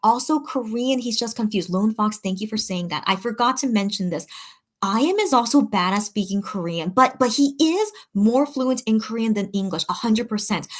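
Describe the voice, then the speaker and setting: A woman talks at a fairly quick pace. Her voice is fairly high and somewhat breathy. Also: ordinary pitch variation. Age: 30s. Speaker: K-pop merch shopper and livestreamer. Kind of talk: casual livestream chat reading comments. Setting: live stream. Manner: rambling with many fillers.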